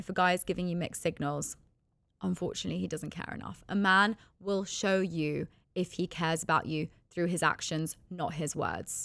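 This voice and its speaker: On a very clean recording with a silent background, a woman with a fairly low pitch speaks in an animated tone at a moderate pace, with vocal fry. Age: 20s. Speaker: podcast host. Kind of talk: solo monologue podcast.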